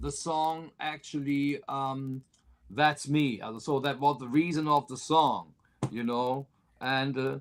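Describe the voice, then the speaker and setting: A man talks at a fairly slow pace and fairly high pitch. His pitch varies in an ordinary way. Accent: German. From Germany (Cologne). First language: German. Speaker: country singer. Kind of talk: interview. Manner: halting, many fillers.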